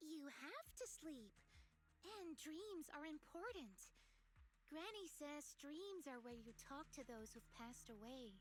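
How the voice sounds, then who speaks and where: A put-on character voice, high in pitch and at a fairly slow pace, with clear background noise. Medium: video game.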